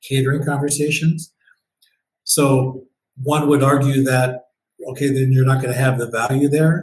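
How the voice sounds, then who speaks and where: Speaking at a moderate pace with an American accent, a man holds a medium pitch in a monotone, flat intonation that is somewhat breathy. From US Midwest, northeast Ohio near Cleveland. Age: 60s. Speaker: event designer and business owner. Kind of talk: podcast interview.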